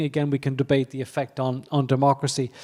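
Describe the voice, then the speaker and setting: With an Irish accent, a man speaks at a moderate pace in a fairly high voice that has a dark, mellow tone. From Ireland. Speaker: economist. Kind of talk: conference keynote. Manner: halting, many fillers and repetitions.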